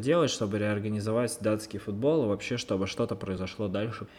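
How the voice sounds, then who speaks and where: A man talks at a very fast pace. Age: 20s. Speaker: podcast host. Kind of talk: solo podcast monologue.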